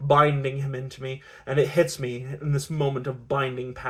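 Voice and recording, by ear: Someone reads aloud, using a natural voice.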